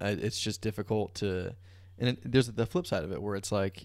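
This is an unremarkable speaking voice, a man's with an American accent. He talks at a fairly quick pace and a fairly low pitch. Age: 20s. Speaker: filmmaker and content creator. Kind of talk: casual chat.

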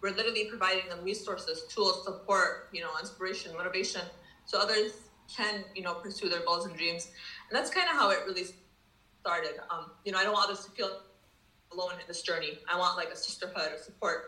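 With an American accent, a woman talks at a very fast pace and medium pitch with fairly even intonation, over noticeable background noise and audible room echo. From US Midwest, Dearborn, Michigan. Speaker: social worker and founder of a support platform. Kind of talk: casual interview chat.

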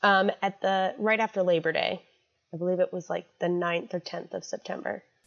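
A woman talks at a moderate pace with medium pitch and fairly even intonation, a normal speaking voice. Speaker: health educator. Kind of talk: interview.

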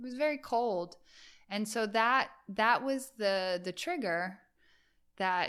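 On a very clean recording with a silent background, a woman with an American accent uses a normal speaking voice, fairly high-pitched, with lively intonation. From New York, US. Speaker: yoga teacher and photographer. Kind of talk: casual interview chat.

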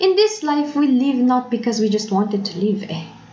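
With noticeable background noise and audible room echo, a woman speaks at a moderate pace in a high pitch with ordinary pitch variation. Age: 20s. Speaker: faith podcaster. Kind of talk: personal reflection monologue. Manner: code-switching Taglish.

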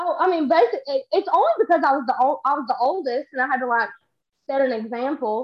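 A woman with a Texan accent speaks at a very fast pace in a high pitch, with lively intonation. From Texas. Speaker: social media creator. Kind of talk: casual chat.

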